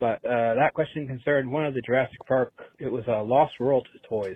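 A man talks in a normal speaking voice at a medium pitch. His intonation is fairly even and his pace moderate. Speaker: caller leaving voicemail. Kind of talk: voicemail message. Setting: phone call.

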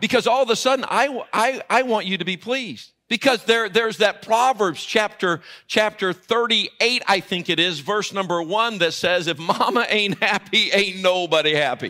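Over music in the background, a man with a high pitch and ordinary pitch variation uses a raised, projected voice at a moderate pace with hardly any pauses. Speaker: preacher. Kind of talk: Baptist sermon, verse-by-verse Bible exposition, with humorous asides to the congregation. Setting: church with live congregation. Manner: animated, conversational, teacherly; pauses to explain grammar, with playful jokes and audience appeals.

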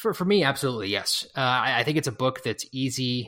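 Bright and sharp in tone, a man at medium pitch talks at a fairly quick pace with ordinary pitch variation. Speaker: podcast host. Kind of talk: casual book review discussion.

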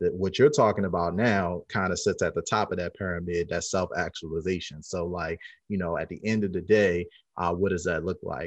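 Against a quiet background, a man with an American accent speaks at a fairly quick pace with a very deep, low pitch. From Baltimore, US. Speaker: founder of a speakers network. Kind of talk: interview. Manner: animated.

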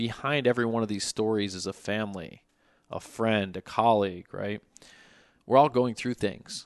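Against a quiet background, a man talks in a normal speaking voice at a moderate pace. His pitch is fairly low and his intonation fairly even. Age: 30s. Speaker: finance executive. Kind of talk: casual interview.

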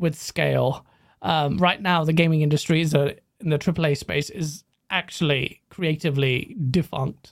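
At a moderate pace, a man with a fairly high pitch and fairly even intonation uses an unremarkable speaking voice. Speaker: content creator. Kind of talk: casual chat.

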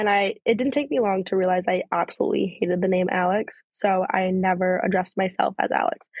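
A woman with a plain, everyday voice at medium pitch, fairly even intonation and a fairly quick pace. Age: 20s. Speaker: podcast host, college student. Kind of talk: casual personal monologue. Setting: outdoors on a porch. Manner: casual, filler-heavy speech.

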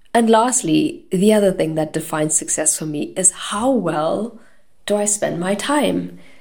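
A woman of medium pitch speaks at a fairly slow pace with vocal fry and very wide pitch swings. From South Africa. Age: 30s. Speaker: podcast host. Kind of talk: solo podcast monologue.

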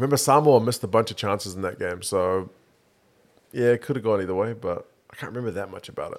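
A man at a medium pitch with a New Zealand accent, very fast pace, ordinary pitch variation and big swings in loudness. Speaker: podcast co-host. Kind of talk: casual banter about rugby.

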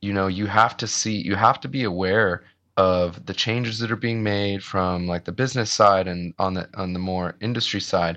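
Over a quiet background, a man talks at a moderate pace in a bright, sharp tone with fairly even intonation. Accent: American. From US Midwest. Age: 30s. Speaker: metalcore band vocalist. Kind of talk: casual interview chat. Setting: video call.

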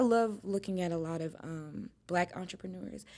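A woman speaks at a medium pitch with fairly even intonation. It is an unremarkable speaking voice. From Texas. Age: 20s. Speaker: nail technician. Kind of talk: casual chat.

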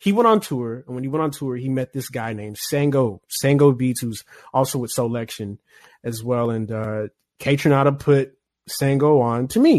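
A man's normal speaking voice at a medium pitch and moderate pace, with ordinary pitch variation. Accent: American. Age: 20s. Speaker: music producer. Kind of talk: interview.

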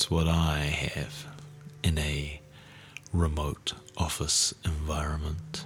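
With music in the background, a man with a New Zealand accent speaks very slowly in a very deep, low pitch, his intonation monotone and flat and his tone soothing. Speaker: podcast host. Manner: slow, soothing delivery.

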